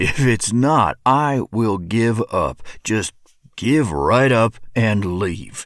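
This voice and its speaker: Putting on a character voice, a man speaks at a very slow pace with lively intonation and a medium pitch. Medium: read story. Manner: snorting, curt.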